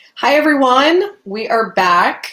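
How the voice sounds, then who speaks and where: A woman speaks fairly slowly while noticeable background noise carries on. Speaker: doctor hosting health webinar. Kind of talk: educational webinar. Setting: online webinar and Instagram Live.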